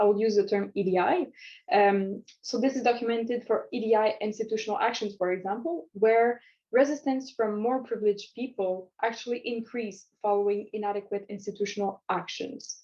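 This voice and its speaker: A woman with a Quebec accent speaks fairly quickly in a fairly high pitch with a dark, mellow tone. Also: ordinary pitch variation. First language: French. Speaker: community psychology student presenter. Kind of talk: recorded conference presentation. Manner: hesitant, many fillers and restarts.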